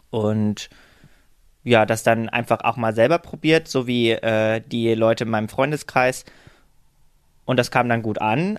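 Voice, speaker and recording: Long, frequent pauses break up a man's fairly slow, medium-pitched speech, delivered with fairly even intonation over a quiet background. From eastern Germany, Halle an der Saale. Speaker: influencer and veterinary student. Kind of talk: casual interview. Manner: hesitant with many fillers.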